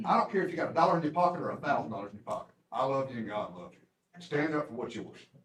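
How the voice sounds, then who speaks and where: A man with a Southern US accent at a very fast pace, fairly high pitch, very wide pitch swings, big swings in loudness, vocal fry and hardly any pauses. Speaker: public commenter. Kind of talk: public comment at meeting. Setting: county commission meeting. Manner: animated.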